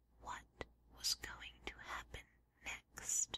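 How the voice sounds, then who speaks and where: A whisper at a very slow pace. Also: woman. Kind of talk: whispered audiobook reading, ASMR. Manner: whispered, soft.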